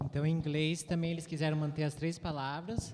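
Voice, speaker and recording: Against noticeable background noise, a man with fairly high pitch talks at a very fast pace. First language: Portuguese. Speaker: interpreter. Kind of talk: consecutive interpreting.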